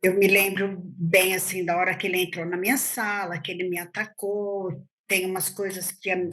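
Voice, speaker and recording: Against a quiet background, a woman speaks at a fairly slow pace with a bright, sharp tone and monotone, flat intonation. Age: 60s. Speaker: teacher, attack survivor. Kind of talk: interview testimony.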